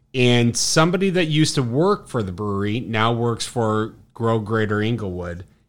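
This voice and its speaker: Talking with hardly any pauses, a man with a Chicago accent uses lively intonation at a medium pitch and a moderate pace, on a very clean recording with a silent background. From Chicago South Side. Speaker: brewery sales rep. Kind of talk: casual chat. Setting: bar.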